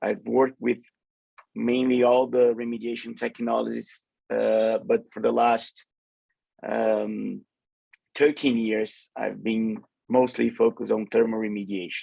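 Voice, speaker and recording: A man speaking at a fairly slow pace, with long, frequent pauses. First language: Portuguese. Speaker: remediation engineer. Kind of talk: webinar panel talk. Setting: online webinar. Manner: halting.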